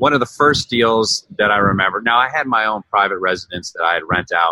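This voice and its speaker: Here is a man with a plain, everyday voice. He talks at a fairly quick pace in a fairly low pitch with ordinary pitch variation. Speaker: real estate investor. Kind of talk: casual interview. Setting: video call.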